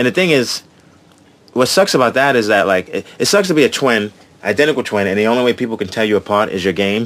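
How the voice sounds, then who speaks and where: A man at a medium pitch, very fast pace and lively intonation. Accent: New York. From New York City, Brooklyn and Queens. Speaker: comedian. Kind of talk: casual chat. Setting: outdoors. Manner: animated.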